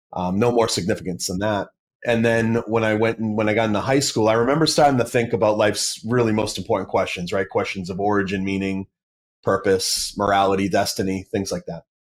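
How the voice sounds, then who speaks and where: Fairly quick, fairly low-pitched speech from a man with an American accent and ordinary pitch variation. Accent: Boston accent, comes and goes. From Massachusetts, South Shore near Boston. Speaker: apologist, former atheist. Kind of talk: podcast interview. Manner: halting, many fillers and restarts.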